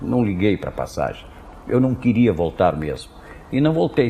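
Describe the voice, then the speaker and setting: The man's intonation is lively and his pace moderate. Noticeable background noise runs underneath. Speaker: sports radio commentator and announcer. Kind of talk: interview answer. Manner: soft-spoken, direct, simple, confident.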